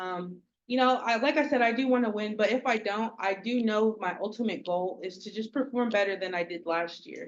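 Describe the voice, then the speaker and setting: This woman has a plain, everyday voice and an American accent, pitched fairly high. She speaks at a fairly quick pace with ordinary pitch variation. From Oklahoma, Okmulgee area. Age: 20s. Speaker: pageant contestant. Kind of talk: speech introducing herself at a community meeting. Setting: community meeting.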